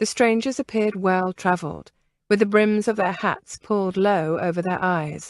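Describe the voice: Over a quiet background comes plain reading aloud.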